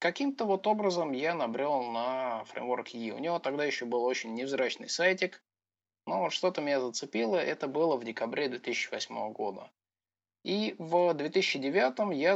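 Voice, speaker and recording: At a fairly slow pace, a man with a normal speaking voice talks with lively intonation. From Russia, Voronezh. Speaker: software developer. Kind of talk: casual interview.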